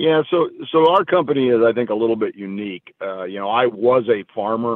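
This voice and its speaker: Fairly quick delivery from a man in a normal speaking voice, with ordinary pitch variation. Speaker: farmland company executive. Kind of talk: interview.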